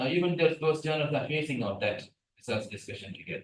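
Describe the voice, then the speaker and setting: A man with a Tamil accent talks at a fairly quick pace in a fairly high, somewhat breathy voice. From Sri Lanka. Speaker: research scientist, guest lecturer. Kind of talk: lecture. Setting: lecture hall, hybrid. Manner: animated, interactive.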